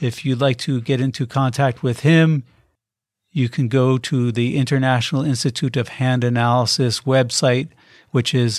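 In an unremarkable speaking voice, a man talks at a moderate pace and medium pitch with fairly even intonation and very even loudness, the recording very clean with a silent background. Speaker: podcast host. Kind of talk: interview.

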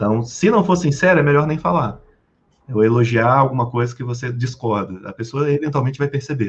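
The man's voice sits at a medium pitch and sounds somewhat breathy. He talks at a fairly quick pace with ordinary pitch variation. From Brazil, Rio de Janeiro. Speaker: sales and communication trainer. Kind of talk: podcast interview. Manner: animated.

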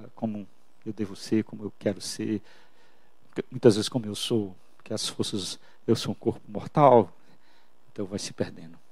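At a fairly slow pace, a man speaks with fairly even intonation. His pitch is fairly low. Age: 50s. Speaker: pastor. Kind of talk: sermon.

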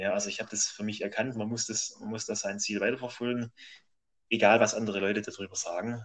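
A man at a fairly quick pace, fairly even in intonation, against a quiet background. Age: 30s. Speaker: amateur road cyclist and graphic designer. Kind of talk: interview. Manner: halting.

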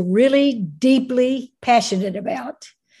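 A somewhat breathy woman speaks at a very slow pace with lively intonation. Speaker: behavior analysis scholar. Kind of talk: interview. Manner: halting.

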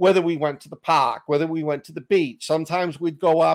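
With a Boston accent, a man speaks fairly quickly in a fairly high voice with fairly even intonation, the sound dry and close with no echo. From Boston, US. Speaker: author and podcaster. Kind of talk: casual chat.

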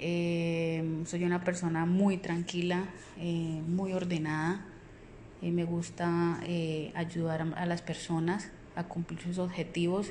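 In a room with audible echo, a woman speaks very slowly in a fairly low voice with a dark, mellow tone and monotone, flat intonation. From Colombia, Puerto Boyacá (Boyacá). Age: 30s. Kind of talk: self-introduction. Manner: hesitant, many fillers.

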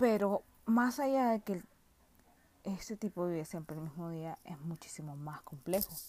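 A woman with a Nicaraguan accent speaks at a fairly slow pace and fairly low pitch, with a dark, mellow tone, lively intonation and big swings in loudness. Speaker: film review podcaster. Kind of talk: casual solo monologue.

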